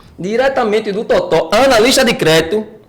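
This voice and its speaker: A man's high-pitched, animated voice with lively intonation at a moderate pace, over noticeable background noise. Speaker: podcast co-host, personal trainer. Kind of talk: casual podcast chat.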